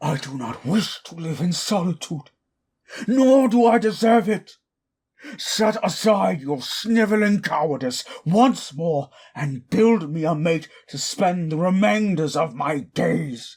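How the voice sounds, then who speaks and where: Using a put-on character voice, a man talks at a high pitch and a fairly slow pace. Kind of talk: audio drama roleplay. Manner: angry, shouting.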